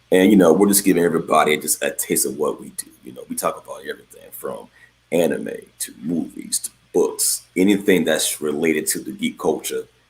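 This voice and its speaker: There are big swings in loudness as a man speaks at a fairly quick pace. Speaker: podcast co-host. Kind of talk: casual chat. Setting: remote podcast recording. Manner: relaxed.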